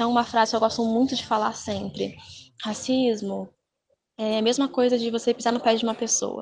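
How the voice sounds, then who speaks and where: At a fairly quick pace, a woman speaks with a fairly high pitch in a monotone, flat intonation. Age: 20s. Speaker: psychology student and dance teacher. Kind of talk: panel discussion.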